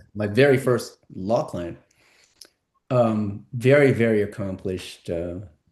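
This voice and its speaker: Speaking at a fairly slow pace, a man with an American accent uses an ordinary speaking voice, with fairly low pitch and ordinary pitch variation. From San Francisco, California. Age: 60s. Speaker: entertainment lawyer and musician. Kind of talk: podcast interview.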